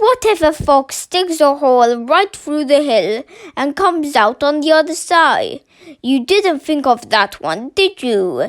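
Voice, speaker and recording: The voice is a high-pitched, put-on character voice. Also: fairly slow pace. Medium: read story. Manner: loud, goading.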